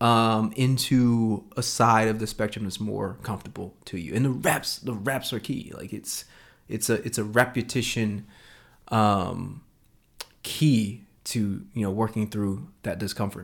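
A man speaks in an ordinary speaking voice at medium pitch and a fairly slow pace, with fairly even intonation, on a very clean recording with a silent background. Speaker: podcast host. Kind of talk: casual chat.

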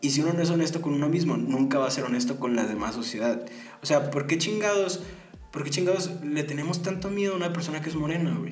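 Over music in the background and audible room echo, a man with a Mexican accent speaks at a very fast pace and a fairly high pitch with ordinary pitch variation. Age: 20s. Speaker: podcast host. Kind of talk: casual monologue. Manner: halting.

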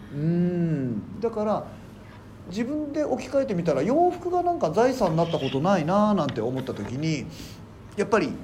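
In a room with audible echo, a man talks at a moderate pace with a high pitch and very wide pitch swings. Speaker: comedian and garbage collector. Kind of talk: casual chat.

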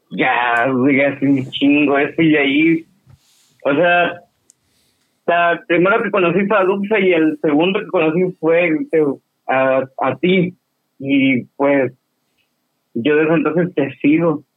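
A man at a fairly high pitch with ordinary pitch variation, a very slow pace, and long, frequent pauses. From Baja California Sur, Mexico. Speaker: caller. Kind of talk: casual chat.

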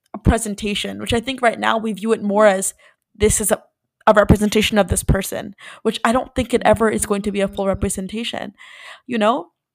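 Here is a woman with a normal speaking voice and a fairly high pitch. She talks at a fairly quick pace. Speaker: podcast co-host. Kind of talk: casual chat.

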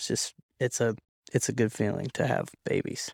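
Recorded very cleanly with a silent background and a dry, close sound with no echo, a man with an American accent speaks at a moderate pace and medium pitch. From US Pacific Northwest (Oregon). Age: 20s. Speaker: barber and young father. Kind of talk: casual interview chat. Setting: studio.

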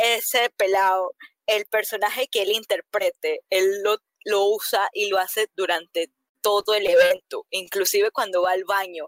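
A woman talks with fairly even intonation in a plain, everyday voice. The sound is dry and close, with no echo. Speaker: cosplayer and event host. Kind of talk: casual chat.

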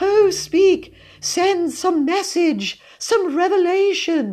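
A woman speaks slowly in a put-on character voice, her pitch extremely high with big swings and a slightly mellow tone.

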